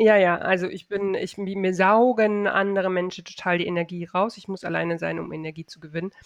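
Against noticeable background noise, a woman at a medium pitch talks at a fairly quick pace with hardly any pauses, her intonation monotone and flat while her loudness swings widely. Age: 40s. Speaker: online shop owner and e-commerce coach. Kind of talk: casual interview chat.

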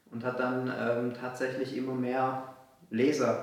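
Over noticeable background noise and audible room echo, a man speaks very slowly at a medium pitch. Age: 20s. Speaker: entrepreneur. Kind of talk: casual chat.

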